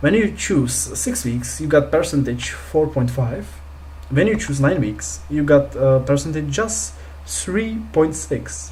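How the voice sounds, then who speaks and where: Words come at a very slow pace in a non-native accent. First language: not English. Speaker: crypto investing youtuber. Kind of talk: screen-share tutorial. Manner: hesitant, many fillers.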